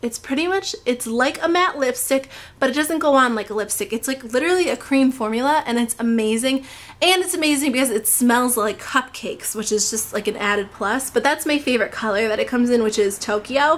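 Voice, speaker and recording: A woman talks at a fairly quick pace in a high voice. Her intonation is lively. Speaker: beauty vlogger. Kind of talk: product review monologue. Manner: fast; enthusiastic.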